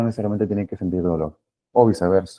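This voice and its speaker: With ordinary pitch variation, the man's voice sits fairly low. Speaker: physiotherapy lecturer. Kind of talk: online lecture. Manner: fast.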